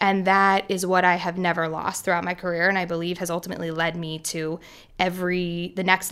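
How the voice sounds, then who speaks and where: Speaking at a fairly quick pace with fairly even intonation, a woman with an American accent has a fairly low pitch and a bright, sharp tone. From US, Philadelphia. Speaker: music tech investor. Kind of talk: interview.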